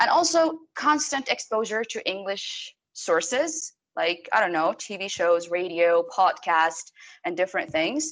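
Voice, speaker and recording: A woman's medium-pitched voice in an Arabic accent, fairly slow, with very wide pitch swings. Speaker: TV host. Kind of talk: casual interview.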